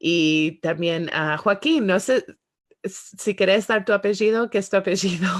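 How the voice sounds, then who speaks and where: A woman speaks at a medium pitch and a fairly slow pace, with ordinary pitch variation, against a quiet background. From Spanish-speaking country as young child, then United States. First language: English now dominant (Spanish was first as a child) (speaking Spanish). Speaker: podcast host. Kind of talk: interview closing and podcast outro. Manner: halting with many fillers and English words.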